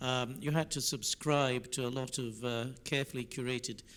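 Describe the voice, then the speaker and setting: In a normal speaking voice, the delivery comes at a fairly slow pace with fairly even intonation. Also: man. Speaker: lawyer, conference panelist. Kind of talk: panel discussion comment. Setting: conference room with online audience.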